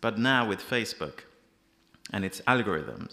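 With a Persian accent, a man speaks in a bright, sharp tone and fairly even intonation. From Iran. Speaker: freelance journalist. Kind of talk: panel discussion. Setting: stage with audience. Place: hall. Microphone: podium.

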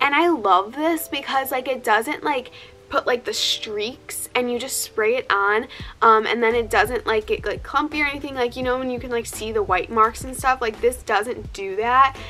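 Over faint background music, a woman talks at a high pitch and a moderate pace. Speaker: fitness vlogger. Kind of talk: casual vlog chat. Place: home room. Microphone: phone near.

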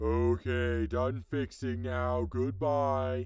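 A man speaks with a very deep, low pitch at a very slow pace. The recording is very clean, with a silent background. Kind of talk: mock-grand divine voice turning casual. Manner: solemn at first, then irritated and offhand.

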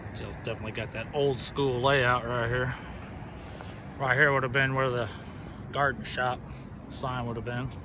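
Speaking at a moderate pace, a man uses a monotone, flat intonation with long, frequent pauses. The sound is dry with no echo, and there is noticeable background noise. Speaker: urban explorer vlogger. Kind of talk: casual vlog commentary. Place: street.

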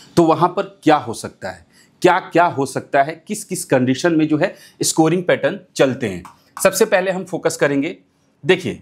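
A man's high-pitched voice unfolds at a fairly slow pace. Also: ordinary pitch variation. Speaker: fantasy cricket tutor. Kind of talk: tutorial. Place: studio. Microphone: lapel.

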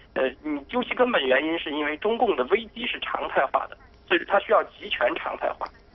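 A man speaks at a fairly quick pace and a high pitch, with very wide pitch swings. His loudness swings a lot, and there is noticeable background noise. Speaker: political commentator. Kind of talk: live TV commentary. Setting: remote call.

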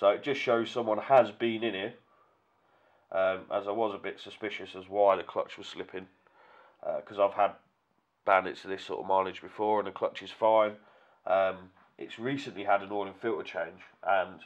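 A man talks at a fairly low pitch with monotone, flat intonation and a moderate pace. He leaves long, frequent pauses, and the background is quiet. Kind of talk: tutorial. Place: workshop. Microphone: camera far.

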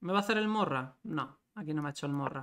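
With a quiet background, a man speaks in a bright, sharp tone. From Spain. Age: 30s. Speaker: chess grandmaster streamer. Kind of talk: live chess commentary stream. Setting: livestream. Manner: animated. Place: home room.

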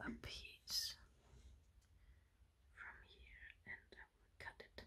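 A woman is whispering at a very slow pace. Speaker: ASMR content creator. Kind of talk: ASMR show and tell, casual talk to camera. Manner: soft-spoken, whispering.

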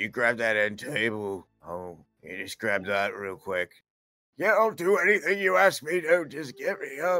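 A man speaks at a moderate pace in a fairly high pitch, with very wide pitch swings and big swings in loudness. Music plays in the background. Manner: pleading, eager.

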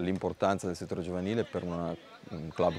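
A man's very deep, low voice delivers everything with monotone, flat intonation. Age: 40s. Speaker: youth football coach. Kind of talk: interview. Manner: halting.

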